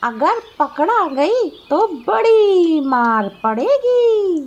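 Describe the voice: This cartoonish character voice sits at an extremely high pitch with very wide pitch swings.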